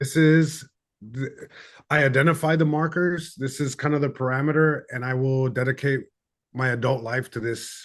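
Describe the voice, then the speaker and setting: A man's fairly high voice at a moderate pace, fairly even in intonation, over a quiet background. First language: Spanish. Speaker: comedian. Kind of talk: interview. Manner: halting, many repeated words.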